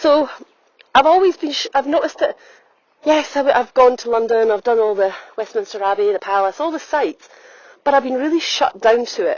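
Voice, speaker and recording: Someone with an Edinburgh accent talks at a fairly quick pace with very wide pitch swings. Long, frequent pauses break up the speech. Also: woman, high pitch for a woman. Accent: Scottish (Edinburgh). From Scotland, Edinburgh. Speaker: holistic health coach and podcaster. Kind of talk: reflective podcast monologue. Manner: conversational, with frequent fillers.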